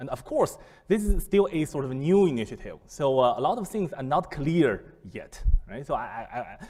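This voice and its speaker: A man with a Chinese accent speaks in a dark, mellow tone with lively intonation. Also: fairly high pitch for a man, moderate pace. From China. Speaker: business school professor. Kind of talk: lecture. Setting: seminar room with audience. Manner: halting, many fillers and repetitions.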